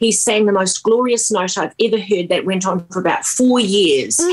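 With noticeable background noise behind her, a woman speaks at medium pitch in a New Zealand accent. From New Zealand, small town. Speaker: singer-songwriter. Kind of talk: radio interview. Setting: remote radio interview.

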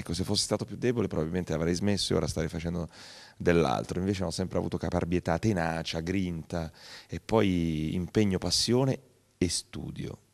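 Against a quiet background, a man with a very deep, low voice talks at a very fast pace with ordinary pitch variation. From Italy, Apulia (Cerignola). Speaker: TV and radio presenter, actor, author. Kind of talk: interview. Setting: studio. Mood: warm, reflective, earnest. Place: studio. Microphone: handheld.

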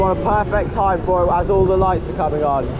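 Over noticeable background noise, a man's voice carries an audible room echo. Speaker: theme park vlogger. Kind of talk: vlog commentary. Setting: outdoors at a funfair. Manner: enthusiastic.

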